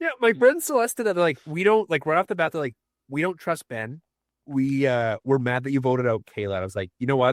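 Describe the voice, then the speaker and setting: A man speaks with very wide swings in pitch. The recording is very clean and dry, close-miked with no echo and a silent background. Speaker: reality show contestant. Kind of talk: casual chat. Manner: mumbling.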